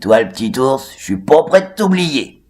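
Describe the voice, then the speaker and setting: A man's put-on character voice, fairly high in pitch, with very wide pitch swings, big swings in loudness and a moderate pace. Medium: read story.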